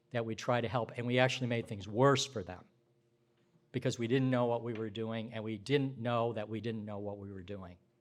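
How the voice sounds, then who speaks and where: An ordinary speaking voice at a fairly quick pace, with fairly even intonation and big swings in loudness. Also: man, medium pitch for a man. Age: 60s. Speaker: social work professor and dean. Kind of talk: conference talk. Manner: conversational, with fillers.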